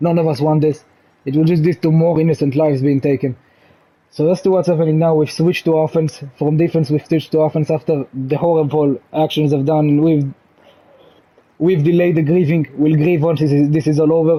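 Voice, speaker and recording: Speaking fairly quickly in a flat monotone, a man with an Israeli accent keeps his loudness very even at a fairly high pitch. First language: Hebrew. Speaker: gaming channel creator. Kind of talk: casual explanatory monologue. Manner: halting, many restarts; calm.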